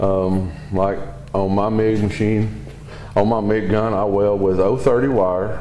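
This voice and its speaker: There is audible room echo and noticeable background noise. A man speaks at a fairly low pitch with fairly even intonation. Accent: strong Southern US. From US South (Southeast). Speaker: welding hobbyist reviewing equipment. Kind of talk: product review demonstration. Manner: casual, hesitant with fillers.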